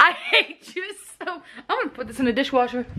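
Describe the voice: Speaking at a fairly quick pace, a woman uses a high pitch, a bright, sharp tone and lively intonation.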